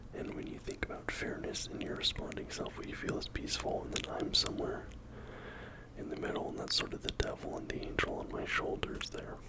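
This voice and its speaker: A man whispers over noticeable background noise. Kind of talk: ASMR whispering video. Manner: whispered, soft-spoken.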